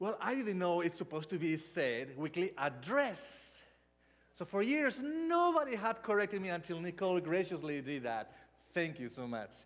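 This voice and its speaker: A man with a high voice speaks at a fairly slow pace, his pitch swinging very widely. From Spain. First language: not English (third language). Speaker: pastor. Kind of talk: sermon. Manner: halting.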